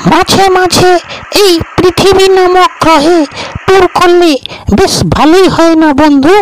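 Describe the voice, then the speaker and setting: A cartoonish character voice at an extremely high pitch, fairly slow in pace, with clear background noise. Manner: wondering, friendly.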